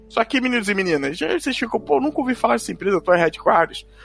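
With music in the background, a man talks very fast at a high pitch with lively intonation. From Brazil. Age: 30s. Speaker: podcast host. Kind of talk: casual monologue about video game history.

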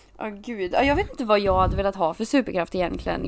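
A woman speaks with vocal fry. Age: 20s. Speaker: podcast co-host. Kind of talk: casual chat.

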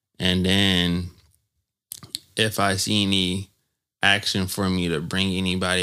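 Very deep, low male voice with a bright, sharp tone on a very clean recording with a silent background. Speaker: former student. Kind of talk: casual chat.

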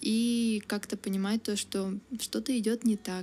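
A woman's fairly high, somewhat breathy voice with a dark, mellow tone and fairly even intonation. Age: 20s. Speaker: university student. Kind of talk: interview. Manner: casual, many fillers.

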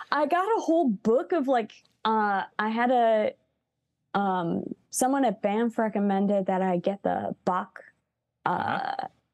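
In a dry, close sound with no echo, a woman with a normal speaking voice talks at a fairly slow pace, her fairly high pitch carrying lively intonation at very even loudness. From US Midwest, Chicago. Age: 30s. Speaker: musician. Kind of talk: casual interview.

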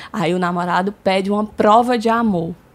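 A woman speaks at a fairly slow pace in an unremarkable speaking voice. Her pitch varies in an ordinary way. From Brazil, São Luís, Maranhão. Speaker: marketing agency co-founder. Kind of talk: casual chat.

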